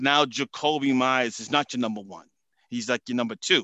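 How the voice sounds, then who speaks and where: Bright and sharp in tone, this voice with a Boston accent runs at a fairly quick pace with ordinary pitch variation, sounding dry and close with no echo against a quiet background. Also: man. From Massachusetts, US. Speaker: football salary cap analyst guest. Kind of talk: casual interview chat.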